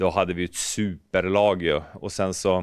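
A man speaks at a fairly slow pace with a fairly low pitch. The sound is dry with no echo, over a quiet background. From Norrbotten, northern Sweden. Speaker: ice hockey pundit and former goalkeeper coach; ice hockey pundit, former goalkeeper coach. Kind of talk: casual interview. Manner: animated. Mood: relaxed, upbeat. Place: office. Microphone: handheld.

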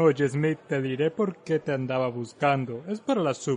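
A man with a plain, everyday voice speaks at a moderate pace, fairly high in pitch for a man and lively in intonation. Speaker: audiobook narrator. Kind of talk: audiobook character dialogue. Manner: chatty, jovial, hearty.

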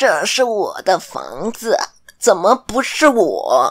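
A put-on character voice sits at a fairly high pitch. Its pace is very slow.

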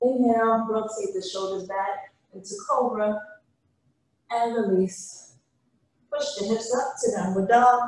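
Strong room echo fills the space as a woman speaks with a fairly high, somewhat breathy voice. Her pitch varies in an ordinary way, broken by long, frequent pauses. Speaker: yoga instructor. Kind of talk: guided yoga class, calm spoken cues. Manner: calm, slow, soothing, even-paced instruction. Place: gym.

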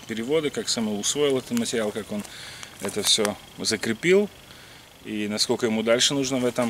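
A man at a moderate pace, dry sound with no echo, light background noise. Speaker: wrestling coach. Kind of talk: casual vlog intro. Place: forest. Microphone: camera far.

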